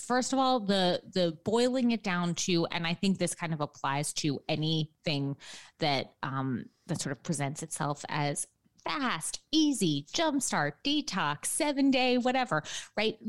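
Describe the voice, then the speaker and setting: Here a woman talks at a fairly slow pace in an American accent. Her pitch swings very widely. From New York City, lower Manhattan. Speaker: registered dietitian and author. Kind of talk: interview. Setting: remote from home apartment.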